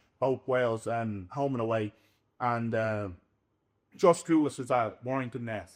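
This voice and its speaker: A man talks in a Dublin accent. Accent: Irish, Dublin. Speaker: professional rugby league player. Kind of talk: podcast interview. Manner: animated.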